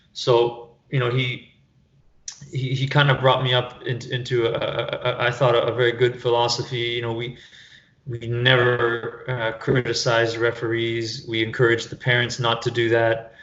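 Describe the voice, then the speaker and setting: Over noticeable background noise, a speaker with a Canadian accent talks in a flat, monotone intonation. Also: man, medium pitch for a man, moderate pace. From Canada, Toronto area. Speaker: soccer fitness coach. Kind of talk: podcast interview. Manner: halting, many repetitions.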